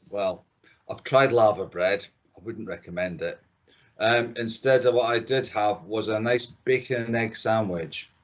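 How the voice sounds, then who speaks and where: A man with a Scottish accent speaks at a medium pitch and a fairly slow pace, his intonation fairly even. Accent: Scottish, kept after thirty years. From Scotland, Dundee. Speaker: chief engineer. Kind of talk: casual chat. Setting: remote podcast recording.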